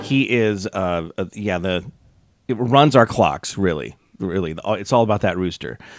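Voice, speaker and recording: A man's normal speaking voice, fairly low in pitch, with lively intonation and a moderate pace. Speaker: radio host. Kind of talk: casual chat.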